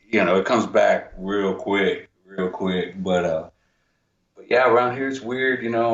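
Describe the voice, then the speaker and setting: A man with an American accent, medium-pitched, with ordinary pitch variation and a fairly quick pace. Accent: Texas accent, some Jersey. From New Jersey, Union City. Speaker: writer and musician. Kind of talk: casual chat.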